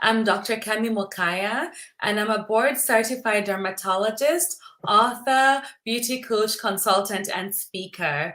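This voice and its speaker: A woman with a Kenyan accent speaks at a fairly slow pace, her fairly high, bright, sharp voice showing ordinary pitch variation. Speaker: dermatologist. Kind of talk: casual chat. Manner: repeats words, halting.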